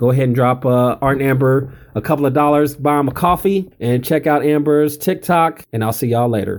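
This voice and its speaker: This man has a plain, everyday voice, talking at a fairly quick pace with ordinary pitch variation. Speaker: news segment contributor. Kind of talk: commentary.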